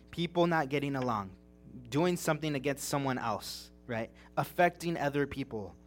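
With music in the background, a man talks at a moderate pace in a fairly high voice with ordinary pitch variation. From California, Big Bear Mountains. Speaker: preacher. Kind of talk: sermon. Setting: church service.

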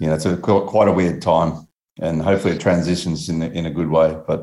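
Speaking at a very fast pace, a man with an Australian accent has a very deep, low pitch and a dark, mellow tone. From Australia, Melbourne. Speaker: BASE jumper and author. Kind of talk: interview. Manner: casual, laid-back with filler words.

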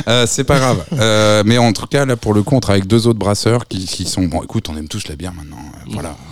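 A man's fairly low voice with lively intonation at a very fast pace. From France, Reims. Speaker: festival director and programmer. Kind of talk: radio interview.

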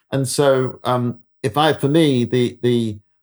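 Speaking with a British accent, a man talks at a medium pitch. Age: 70s. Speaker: economist. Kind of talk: interview. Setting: remote call. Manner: hesitant, halting.

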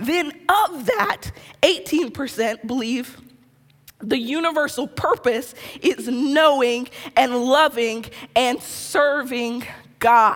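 Noticeable background noise sits behind very slow speech with ordinary pitch variation and long, frequent pauses. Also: woman, high pitch for a woman. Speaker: pastor. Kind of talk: sermon. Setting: church with live audience.

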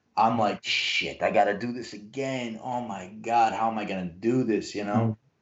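At a fairly slow pace, a man speaks at a medium pitch in an ordinary speaking voice. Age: 30s. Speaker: martial artist and musician. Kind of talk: casual chat.

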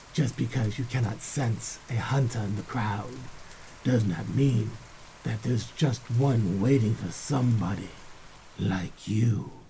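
A man with a plain, everyday voice talks at a fairly slow pace, his medium pitch showing ordinary variation. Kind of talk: epic fantasy audio drama narration, in-character address to a young pupil. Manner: solemn, formal, measured, gravely admonishing.

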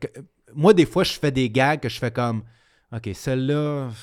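A medium-pitched man with a Quebec accent and ordinary pitch variation on a very clean recording with a silent background. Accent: Québécois French. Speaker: comedian. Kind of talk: casual chat.

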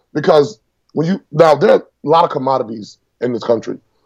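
A man with an American accent and a fairly high pitch speaks in a plain, everyday voice at a fairly quick pace. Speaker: congressional candidate and military veteran. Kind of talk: interview.

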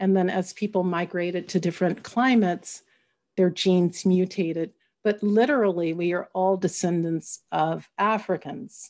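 A woman with an American accent speaks in a normal speaking voice at a medium pitch. Her intonation is fairly even and her pace is moderate. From US Midwest (Oklahoma and Kansas). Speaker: journalist and journalism professor. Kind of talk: interview.

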